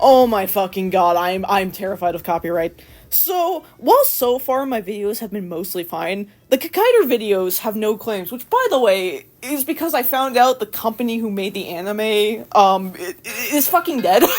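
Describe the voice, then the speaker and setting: A woman's fairly high voice with lively intonation, a moderate pace and hardly any pauses. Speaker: anime video essayist, YouTuber. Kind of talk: unscripted-feeling rant vlog. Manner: animated, hesitant with repeated words.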